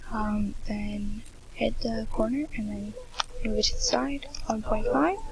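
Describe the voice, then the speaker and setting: Quiet whispering over noticeable background noise. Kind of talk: screen-recording software tutorial narration. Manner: whispered, quiet.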